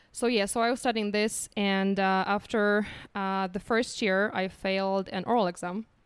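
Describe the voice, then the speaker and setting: On a very clean recording with a silent background, a woman with a Polish accent speaks at a moderate pace and medium pitch, her intonation monotone and flat. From Poland. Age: 30s. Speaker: guest, freelance copywriter. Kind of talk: casual interview chat.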